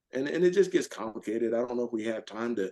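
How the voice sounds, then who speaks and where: The speaker is a man with an American accent. His pitch is medium. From US South. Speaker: retired military officer and author. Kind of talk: podcast interview. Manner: animated.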